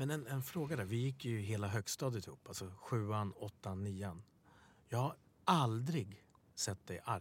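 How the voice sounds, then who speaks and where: Somewhat breathy and fairly low, a man's voice moves with lively intonation at a fairly slow pace. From Sweden, Stockholm (Bredäng). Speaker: podcast co-host. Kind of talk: casual interview chat.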